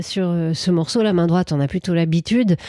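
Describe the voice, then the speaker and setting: A woman's dark, mellow tone comes through at a moderate pace with fairly even intonation, in a dry, close sound with no echo. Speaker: radio host. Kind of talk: radio DJ patter, live jazz morning show chat. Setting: radio studio. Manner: warm, playful, chatty and affectionate.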